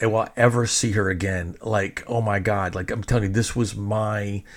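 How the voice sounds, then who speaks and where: Speaking at a fairly slow pace, a man with a fairly low pitch sounds animated and somewhat breathy. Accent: American. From Texas. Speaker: podcast host, DJ and filmmaker. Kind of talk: casual storytelling monologue.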